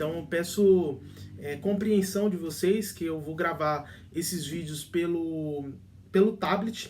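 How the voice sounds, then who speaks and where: A man's high-pitched voice, with ordinary pitch variation, moves at a very slow pace amid audible room echo. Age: 20s. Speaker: relationship advice youtuber. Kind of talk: casual vlog talk. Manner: halting, many fillers and restarts.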